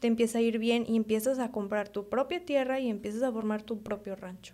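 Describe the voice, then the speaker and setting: Here is a woman with a normal speaking voice. She talks at a fairly quick pace and a fairly high pitch. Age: 20s. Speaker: veterinarian and young rancher. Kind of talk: casual chat.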